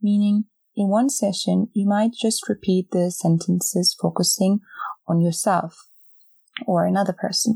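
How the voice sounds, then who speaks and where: A woman with a plain, everyday voice talks at a fairly slow pace and medium pitch, in a dry, close sound with no echo. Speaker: podcast host and meditation guide. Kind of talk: guided meditation. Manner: slow, calm, soothing, with long pauses; gentle, soft-spoken, instructing listener to repeat phrases silently.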